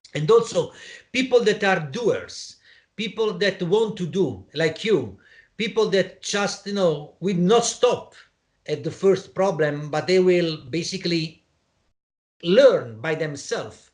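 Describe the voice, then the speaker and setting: A man with a high pitch and an Italian accent talks at a very slow pace with lively intonation. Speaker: interviewer, program organizer. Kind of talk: interview conversation. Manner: halting, many false starts.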